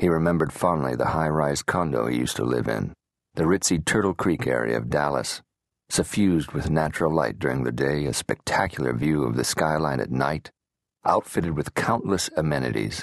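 At a fairly quick pace, a man talks in a very deep, low voice with vocal fry and ordinary pitch variation, the sound dry and close with no echo over a quiet background. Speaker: audiobook narrator. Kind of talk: dramatic audiobook narration with character voices. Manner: measured, gritty, moving between wry narration and terse dialogue.

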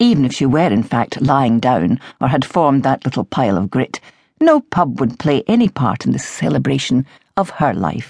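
A woman with vocal fry and a very deep, low pitch speaks at a moderate pace with very wide pitch swings and very even loudness, the sound dry and close with no echo. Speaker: audiobook narrator. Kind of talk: audiobook narration of a novel, with a dry, wry mock-eulogy passage.

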